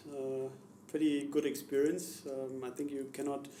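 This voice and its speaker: With a slight German accent, a man talks at a fairly slow pace and a fairly high pitch. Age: young. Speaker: car company executive. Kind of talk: interview answer.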